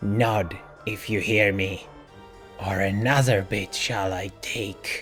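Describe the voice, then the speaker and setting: A man's put-on character voice, fairly low-pitched, at a fairly slow pace with long, frequent pauses and fairly even intonation, over clear background music. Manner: hissing, threatening.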